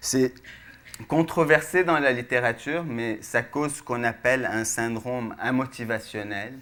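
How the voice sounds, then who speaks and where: A man with a plain, everyday voice talks at a fairly slow pace in a medium pitch with ordinary pitch variation. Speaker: researcher, speaker. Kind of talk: public science lecture.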